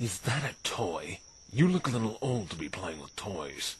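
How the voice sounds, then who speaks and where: Over clear background noise, a man puts on a character voice at medium pitch, moving at a moderate pace with very wide pitch swings. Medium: audio drama. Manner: curt, gruff.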